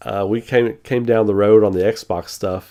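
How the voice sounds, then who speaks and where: A dark, mellow tone at a fairly slow pace. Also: man. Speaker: gaming streamer. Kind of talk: casual chat. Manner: casual, halting with repeated words.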